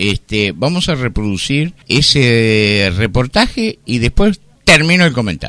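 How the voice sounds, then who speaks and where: A man's medium-pitched voice, very slow, with very wide pitch swings. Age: 60s. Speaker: radio host. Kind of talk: radio commentary.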